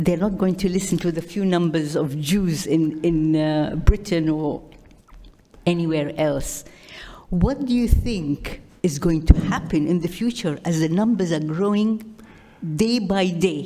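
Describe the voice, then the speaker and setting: A woman speaks at a fairly slow pace in a fairly low pitch, her tone dark and mellow with ordinary pitch variation. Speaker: audience member asking a question. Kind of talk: audience question. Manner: loud; halting, stumbling.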